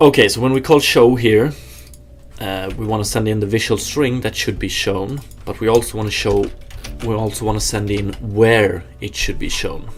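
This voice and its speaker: A man speaks at a fairly low pitch. He keeps a moderate pace with ordinary pitch variation. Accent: Swedish. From Sweden. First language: Swedish. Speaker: game developer streamer. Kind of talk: live coding stream, casual chat with viewers. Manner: casual, hesitant with fillers.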